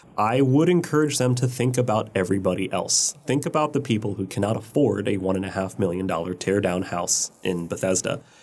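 A man with an American accent and a plain, everyday voice, fairly low in pitch, at a fairly quick pace with hardly any pauses. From US Mid-Atlantic, Montgomery County, Maryland. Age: 30s. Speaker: urban planner and blogger. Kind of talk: interview.

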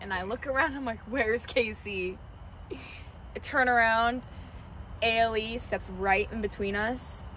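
A woman with an American accent talks at a very slow pace, with vocal fry and fairly even intonation. Audible room echo surrounds her voice. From North Carolina, Wake Forest near Raleigh. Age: 20s. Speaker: college cheerleader. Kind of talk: casual interview chat.

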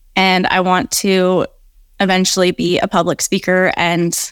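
Captured dry and close with no echo in a very clean recording with a silent background, a woman with an unremarkable speaking voice talks at a fairly slow pace and medium pitch. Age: 20s. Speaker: author. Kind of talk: interview.

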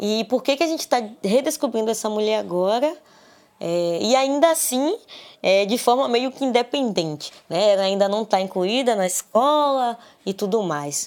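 A woman's unremarkable speaking voice, fairly high in pitch, with lively intonation and a moderate pace, on a very clean recording with a silent background. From Brazil, Salvador, Bahia. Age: 20s. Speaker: literature student and researcher. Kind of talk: interview. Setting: recorded at home.

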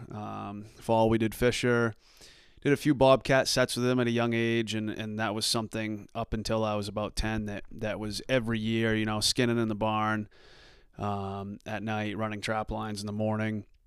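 In a very clean recording with a silent background, a man speaks with an American accent at a moderate pace. His pitch is fairly low, and his intonation is monotone and flat. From US Northeast, southern Maine. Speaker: hunter and outdoors video creator. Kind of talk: casual interview chat.

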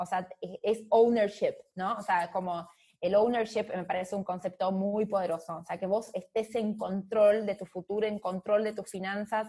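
A woman with a dark, mellow tone speaks somewhat breathily at a medium pitch and fairly slow pace, her intonation fairly even. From Brazil, São Paulo. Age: 30s. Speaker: fintech executive. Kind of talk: interview. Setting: remote call.

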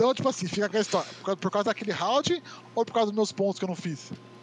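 Dry, close sound with no echo captures a man speaking very fast. His pitch is high, with ordinary variation. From Brazil, São Paulo state (Itu). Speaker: esports media figure. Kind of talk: casual chat. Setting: online call.

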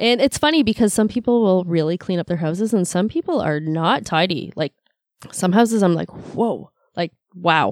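In a Canadian accent, a woman with an unremarkable speaking voice talks at a moderate pace and medium pitch, with lively intonation and a dry, close sound with no echo. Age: 40s. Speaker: massage therapist. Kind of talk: casual chat. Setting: studio.

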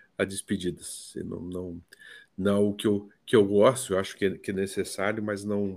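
Fairly low in pitch, a man speaks at a fairly slow pace on a very clean recording with a silent background. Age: 60s. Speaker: psychotherapist. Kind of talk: casual chat.

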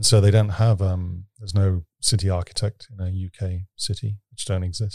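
A man's fairly low, somewhat breathy voice, monotone and flat in intonation, at a moderate pace with hardly any pauses, in a dry, close sound with no echo. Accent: British. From Britain. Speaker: urban innovation expert. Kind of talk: interview conversation. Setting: studio.

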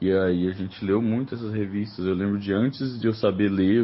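A man's fairly low voice, monotone and flat in intonation, at a moderate pace. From Brazil, Minas Gerais (Uberlândia). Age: 30s. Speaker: comic book artist. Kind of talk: recorded voice message answers. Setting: remote recording sent via messaging app.

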